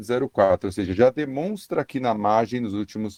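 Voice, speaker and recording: A dark, mellow voice with lively intonation speaks at a moderate pace in a Paulista accent. The sound is dry and close, with no echo. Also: man. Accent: Paulista (São Paulo). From São Paulo state, Brazil. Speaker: economist. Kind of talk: radio interview. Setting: remote radio connection.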